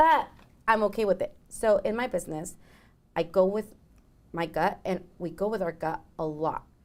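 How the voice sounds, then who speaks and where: At a moderate pace, a woman with a Mexican accent speaks with long, frequent pauses. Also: medium pitch for a woman, lively intonation. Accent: Mexican Spanish accent, rolled R's. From Mexico. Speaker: business owner, consultant. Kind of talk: podcast interview. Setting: studio with small live audience.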